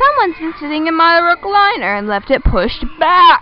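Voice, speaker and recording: An extremely high, put-on character voice moves at a moderate pace with very wide pitch swings. Clear background noise sits behind it. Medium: read story.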